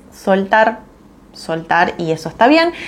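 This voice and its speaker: A woman is speaking. Her pace is fairly slow. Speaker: business mentor. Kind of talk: live stream talk. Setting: live stream. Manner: hesitant, many fillers.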